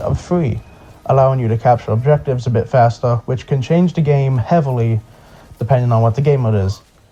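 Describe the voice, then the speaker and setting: Very fast speech from a man at a medium pitch, somewhat breathy with a dark, mellow tone. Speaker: gaming video narrator. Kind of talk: scripted narration. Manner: sped up; casual, halting.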